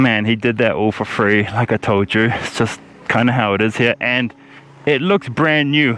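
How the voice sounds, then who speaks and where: A man speaks at medium pitch and a moderate pace with ordinary pitch variation. His loudness stays very even against noticeable background noise. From New Zealand. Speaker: travel vlogger. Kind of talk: travel vlog narration.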